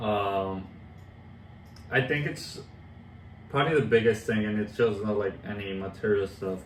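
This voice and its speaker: Noticeable background noise runs under the voice. It moves at a moderate pace with long, frequent pauses and ordinary pitch variation. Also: man, fairly low pitch for a man. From Colombia. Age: 20s. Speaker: track and field coach, transcontinental cyclist. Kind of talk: interview answer.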